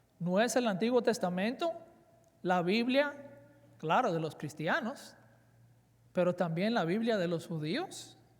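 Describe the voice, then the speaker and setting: With audible room echo, a man with a high pitch speaks at a fairly slow pace in lively intonation, with long, frequent pauses. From Dominican Republic, raised in South Florida (Miami). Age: 40s. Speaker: seminary professor, conference speaker. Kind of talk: conference lecture.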